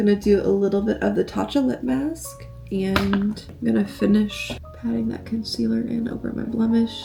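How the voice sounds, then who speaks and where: Music plays in the background as a woman speaks. Her tone is upbeat and her pace moderate. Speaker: lifestyle vlogger. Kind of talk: casual vlog narration. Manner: casual, upbeat.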